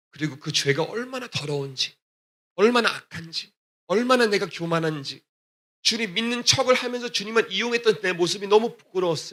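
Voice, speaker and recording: This man's voice is high, with a bright, sharp tone. He talks at a fairly quick pace with lively intonation. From Texas, US (Korean immigrant church). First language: English (speaking Korean). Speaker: gospel singer. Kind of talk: testimony. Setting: church.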